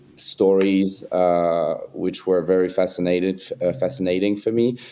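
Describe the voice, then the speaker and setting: A man with a French accent speaks fairly slowly in a very deep, dark and mellow voice. His intonation stays fairly even, and his loudness is very even. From France. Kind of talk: casual chat. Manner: halting.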